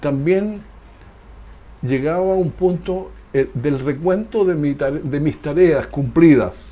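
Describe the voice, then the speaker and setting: At a very slow pace, a man with a fairly high pitch speaks with ordinary pitch variation and long, frequent pauses. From southern Chile, Los Ríos region. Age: 60s. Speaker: former local politician. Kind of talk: interview.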